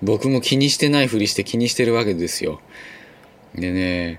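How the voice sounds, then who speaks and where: His pitch moves with ordinary variation. The man's delivery is fairly quick. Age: 40s. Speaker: podcast host, former bus driver. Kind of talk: casual solo monologue. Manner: chatty, many fillers.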